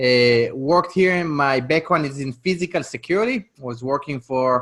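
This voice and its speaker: With an Israeli accent, a man speaks at a moderate pace. His pitch is fairly high. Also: ordinary pitch variation. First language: Hebrew. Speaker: real estate investor. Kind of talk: podcast interview.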